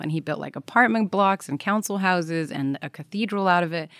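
Recorded very cleanly with a silent background and a dry, close sound with no echo, a woman with an American accent speaks in a normal speaking voice at a fairly low pitch and fairly quick pace. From Belgium. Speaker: travel expert. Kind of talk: casual chat.

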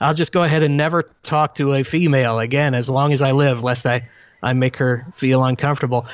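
A man's ordinary speaking voice at medium pitch, fairly quick, with fairly even intonation and very even loudness. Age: 30s. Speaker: public speaker. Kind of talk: casual chat.

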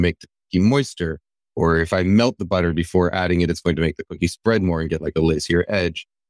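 A man's very deep, low voice at a very fast pace, with fairly even intonation and a dry, close sound with no echo. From Japanese-American household. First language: Japanese. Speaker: food science writer. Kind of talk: live interview. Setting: live online event with audience. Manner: halting, many fillers and restarts.

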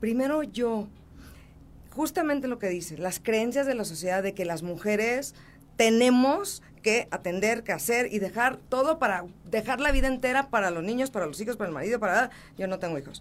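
Her a normal speaking voice, fairly high in pitch for a woman, moves at a moderate pace with lively intonation. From Mexico City. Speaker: motivational speaker and author. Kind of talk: interview. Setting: studio.

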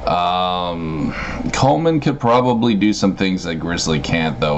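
Amid noticeable background noise, a man speaks at a fairly slow pace in a very deep, low pitch. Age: 30s. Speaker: online content creator. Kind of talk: casual chat.

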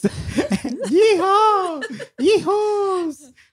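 A squeaky, put-on character voice at an extremely high pitch, with a Texan accent. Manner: playful, exaggerated.

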